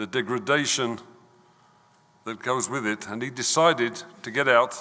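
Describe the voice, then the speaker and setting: Speaking with an English accent, the voice shows ordinary pitch variation and big swings in loudness. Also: man, medium pitch for a man, moderate pace. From London, England. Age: 70s. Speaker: visiting speaker from Israel. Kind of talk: talk at synagogue service. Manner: halting.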